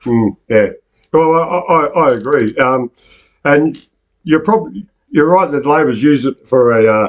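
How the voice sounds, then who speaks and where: A man with a fairly high pitch talks at a fairly slow pace, leaving long pauses often. His intonation is lively, while his loudness stays very even. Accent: Australian. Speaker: online news show host. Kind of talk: casual chat. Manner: halting.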